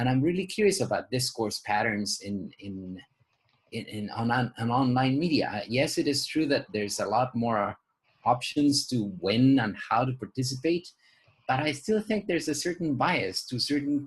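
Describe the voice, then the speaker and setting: Somewhat breathy, a man with a medium pitch speaks at a moderate pace with lively intonation. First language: not English. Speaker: education professor. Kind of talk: panel discussion. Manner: halting, many repeated words.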